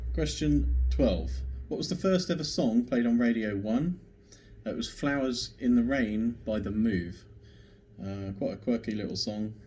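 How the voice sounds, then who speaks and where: Speaking at a fairly slow pace with an English accent, a man at medium pitch uses very wide pitch swings, his dark, mellow tone somewhat breathy. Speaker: pub quiz host. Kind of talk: online quiz video.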